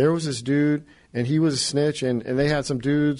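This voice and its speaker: A man with an American accent and a plain, everyday voice talks at a fairly quick pace. His pitch is fairly high, his intonation fairly even, and the background quiet. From California. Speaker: former federal prisoner turned writer and filmmaker. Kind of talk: casual interview chat. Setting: radio studio.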